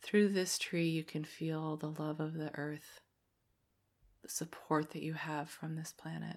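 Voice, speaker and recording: The tone is soothing and calm, at a fairly slow pace. The recording is very clean with a silent background. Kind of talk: guided meditation. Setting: solo recording for listeners to play in a quiet space. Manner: slow, soft-spoken, soothing, with long calm pauses and audible sighs.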